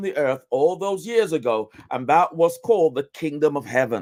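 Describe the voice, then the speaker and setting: Lively intonation carries this moderate-paced speech, captured in a very clean recording against a silent background. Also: man. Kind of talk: teaching talk, sermon-like. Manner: repetitive, emphatic.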